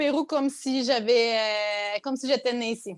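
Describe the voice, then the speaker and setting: A woman speaks in a Quebec accent at a very slow pace. Her pitch variation is ordinary. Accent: Quebec French, persistent. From Quebec, Abitibi. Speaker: content creator. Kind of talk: podcast interview. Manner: hesitant, many fillers.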